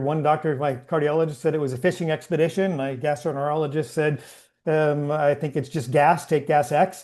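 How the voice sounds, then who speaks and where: Against a quiet background, a man talks at a moderate pace with a fairly high pitch. His intonation stays fairly even. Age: 60s. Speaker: entrepreneur, cancer patient. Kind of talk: interview. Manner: halting, many fillers.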